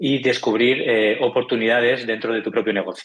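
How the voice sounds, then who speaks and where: The man talks at a fairly quick pace. His intonation is fairly even. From Spain, Barcelona. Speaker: tech startup founder. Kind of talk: interview.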